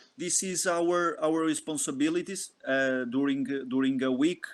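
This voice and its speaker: At a moderate pace, the speaker talks in a Portuguese accent with ordinary pitch variation. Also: man. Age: 20s. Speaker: football performance analyst. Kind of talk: lecture. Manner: halting.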